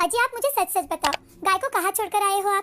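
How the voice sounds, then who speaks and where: In a put-on character voice, a woman speaks at a very fast pace, extremely high-pitched and squeaky with ordinary pitch variation, in a dry, close sound with no echo. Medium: cartoon.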